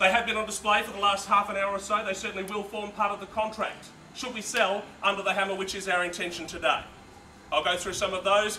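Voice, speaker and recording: Over noticeable background noise, a high-pitched man talks very fast in a raised, projected voice with monotone, flat intonation. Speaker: real estate auctioneer. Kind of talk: live property auction call. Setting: outdoors at a live auction, addressing a crowd. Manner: clear, measured, conversational.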